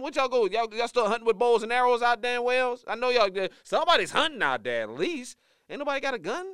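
A raised, projected voice with an American accent comes across bright, sharp and animated at a very fast pace, with ordinary pitch variation. The recording is very clean, with a silent background. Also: man. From Louisiana. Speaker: morning show co-host. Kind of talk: casual chat.

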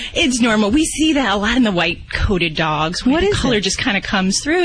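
Talking at a fairly quick pace with hardly any pauses, a woman makes very wide pitch swings while her loudness stays very even. Noticeable background noise is present. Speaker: veterinarian. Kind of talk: radio call-in advice.

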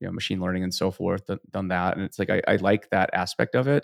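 A man speaks very fast in a very deep, low voice. The sound is dry and close with no echo, the background quiet. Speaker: data engineering consultant. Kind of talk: interview.

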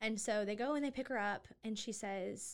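A woman with an ordinary speaking voice talks at a medium pitch and a fairly quick pace, with ordinary pitch variation. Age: 20s. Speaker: nonprofit co-founder. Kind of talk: interview.

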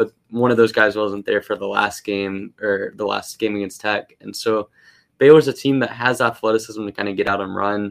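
In a very clean recording with a silent background and a dry, close sound without echo, a man with an unremarkable speaking voice and fairly low pitch talks at a moderate pace with fairly even intonation. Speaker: sports analyst and podcaster. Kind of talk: casual sports talk.

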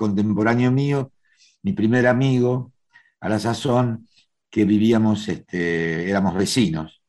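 A man with a Rioplatense accent speaks at a fairly slow pace with lively intonation over a quiet background. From Argentina, Buenos Aires (Once). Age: 70s. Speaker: actor. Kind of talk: interview. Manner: hesitant, many fillers.

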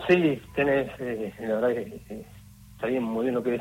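Here is a man with an unremarkable speaking voice. He speaks at a medium pitch and a fairly slow pace. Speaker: museum exhibition curator. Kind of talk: interview.

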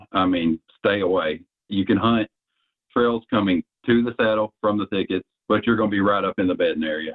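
A man at a moderate pace with a fairly low pitch. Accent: Southern US. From Arkansas. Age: 30s. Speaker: bowhunter. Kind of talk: casual interview.

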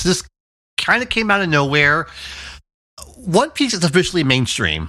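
A high-pitched man's voice, bright and sharp, with very wide pitch swings, on a very clean recording with a silent background. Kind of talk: casual chat.

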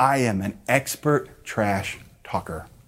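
Heard in a very clean recording with a silent background, a man speaks in an animated tone with ordinary pitch variation. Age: 40s. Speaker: pastor. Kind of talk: sermon.

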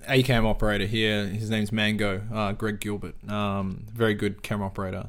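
A man with an Australian accent, fairly low pitch and monotone, flat intonation, at a fairly quick pace with hardly any pauses. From South Auckland, New Zealand. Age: 30s. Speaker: camera operator. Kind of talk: casual interview conversation.

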